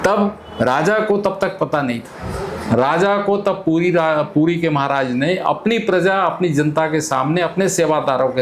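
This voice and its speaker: Amid noticeable background noise and audible room echo, a man speaks in a high voice with ordinary pitch variation. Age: 70s. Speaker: community elder. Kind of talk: interview storytelling.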